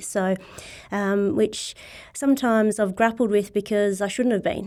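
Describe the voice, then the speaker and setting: In an Australian accent, a woman talks at a fairly quick pace. Her intonation is monotone and flat. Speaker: CEO of a sporting body. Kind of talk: interview.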